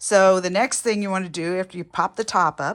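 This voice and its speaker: At a moderate pace, a woman talks in an unremarkable speaking voice with fairly low pitch. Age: 60s. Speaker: home DIY repairer. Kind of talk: casual how-to tutorial.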